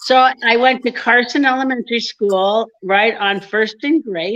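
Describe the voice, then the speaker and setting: A woman talks at a fairly slow pace with a fairly high pitch. She has a normal speaking voice. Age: 60s. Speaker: comedian. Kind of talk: casual chat.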